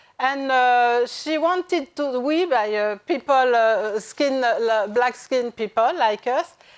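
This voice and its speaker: Very slowly yet with hardly any pauses, a woman with a French accent speaks in a high pitch, in a very clean recording with a silent background. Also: ordinary pitch variation, very even loudness. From France. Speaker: journalist and author. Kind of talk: panel discussion. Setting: stage with audience. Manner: halting, many hesitations.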